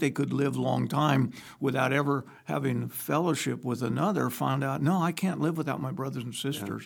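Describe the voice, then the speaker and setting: A man's fairly high voice with vocal fry, at a fairly quick pace. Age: 70s. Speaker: pastor. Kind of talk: casual chat.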